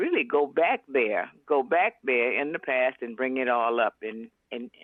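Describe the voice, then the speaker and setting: This woman's pitch sits very deep and low. She has an American accent. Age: 80s+. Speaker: author. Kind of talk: interview. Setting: phone call. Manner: halting.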